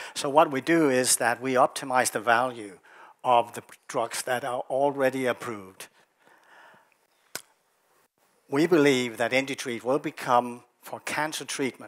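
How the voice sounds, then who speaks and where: A man at a fairly slow pace, with long, frequent pauses, fairly even intonation and a quiet background. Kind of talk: investor presentation. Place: hall. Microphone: headset.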